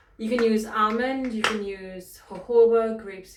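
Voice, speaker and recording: A woman with a British accent over noticeable background noise. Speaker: fitness instructor. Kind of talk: tutorial. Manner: fast; casual.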